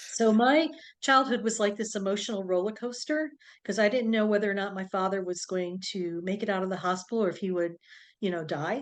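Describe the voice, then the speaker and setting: In an ordinary speaking voice, a woman talks at a fairly quick pace and a medium pitch. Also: ordinary pitch variation. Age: 60s. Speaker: doctor and intuitive healer. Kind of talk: interview, personal story.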